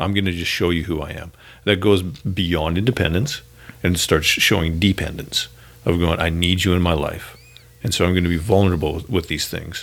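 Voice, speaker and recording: With a Canadian accent, a man talks fairly quickly in a very deep, low voice with fairly even intonation and audible room echo. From Canada. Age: 40s. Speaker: pastor. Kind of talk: casual chat. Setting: church building.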